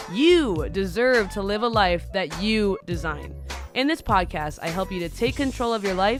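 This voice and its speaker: Moderately paced speech from a woman over background music. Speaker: podcast host. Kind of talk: podcast intro.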